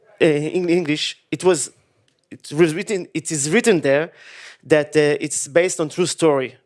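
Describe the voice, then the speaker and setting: A man's fairly high voice with an Israeli accent, ordinary pitch variation, a moderate pace and big swings in loudness, in a very clean recording with a silent background. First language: Hebrew. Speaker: film director. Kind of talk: Q&A interview. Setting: stage with audience. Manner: halting.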